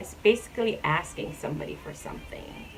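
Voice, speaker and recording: A woman with a Jamaican accent talks at a fairly slow pace while music plays in the background. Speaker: YouTuber. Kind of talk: casual talk to camera.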